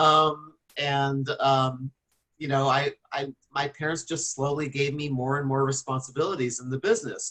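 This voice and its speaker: At a moderate pace, a man with a fairly high pitch and a bright, sharp tone keeps his intonation fairly even. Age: 50s. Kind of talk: casual radio interview chat. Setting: radio show.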